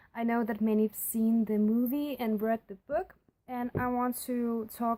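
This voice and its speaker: This voice has a dark, mellow tone and a non-native accent, moving at a moderate pace in a dry, close sound with no echo. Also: woman. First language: not English. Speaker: book and movie reviewer. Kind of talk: casual video review. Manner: halting, many fillers. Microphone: poor recording quality.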